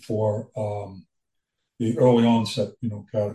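A man's dark, mellow tone, somewhat breathy, at a fairly slow pace. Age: 70s. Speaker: Alzheimer's caregiver and military veteran. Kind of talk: interview testimony. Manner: halting.

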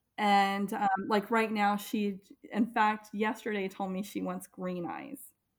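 Her voice is a normal speaking voice, a woman at a medium pitch with an American accent. She talks at a fairly slow pace with fairly even intonation. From US military family, raised largely in Florida. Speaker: parent. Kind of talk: casual interview.

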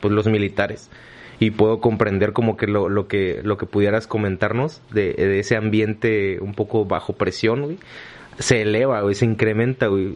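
A normal speaking voice from a man, fairly low in pitch, with fairly even intonation at a fairly slow pace. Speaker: podcast host, civil engineer. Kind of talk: casual chat.

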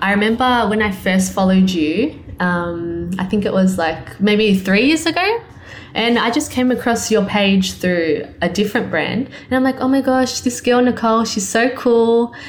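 Over noticeable background noise, a woman with an Australian accent and fairly high pitch keeps her loudness very even. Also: ordinary pitch variation, moderate pace. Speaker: clothing line owner and designer. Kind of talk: casual interview.

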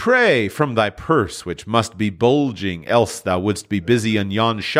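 What we hear is plain reading aloud.

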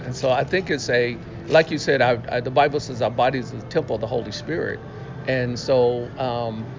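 Speaking at a moderate pace with fairly even intonation and medium pitch, a man is heard over noticeable background noise and audible room echo. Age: 60s. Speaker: pastor. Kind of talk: interview.

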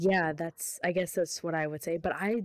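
A plain, everyday voice, with fairly even intonation. The recording is very clean and the background silent. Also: woman. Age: 20s. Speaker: podcast co-host. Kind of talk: casual chat.

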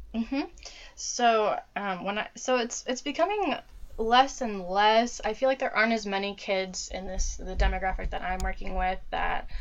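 Noticeable background noise sits behind a woman with an American accent. Her fairly high voice moves at a moderate pace with ordinary pitch variation. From US Midwest (Dayton, Ohio). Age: 20s. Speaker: social worker. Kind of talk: casual interview. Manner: hesitant, many fillers.

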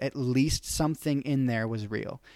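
A man with an unremarkable speaking voice talks at a moderate pace and medium pitch with ordinary pitch variation, on a very clean recording with a silent background. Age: 20s. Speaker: podcast host. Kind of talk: casual chat.

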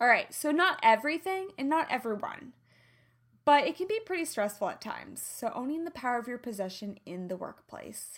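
A woman speaks in a high pitch with a slight Midwestern accent at a fairly quick pace. Her tone is animated, with very wide pitch swings and big swings in loudness. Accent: slight Midwestern twang. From US Midwest. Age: 30s. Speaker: podcast host, health and lifestyle coach. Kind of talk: solo podcast monologue.

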